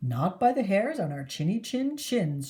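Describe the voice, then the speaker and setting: Putting on a character voice, a woman speaks at a moderate pace and a medium pitch with very wide pitch swings. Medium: read story. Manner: squealing, excitable.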